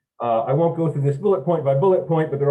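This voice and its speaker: A man's voice is dark and mellow, a little breathy, and its pitch varies in an ordinary way. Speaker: engineer presenting at a technical symposium. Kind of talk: technical presentation. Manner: fast; halting with repetitions.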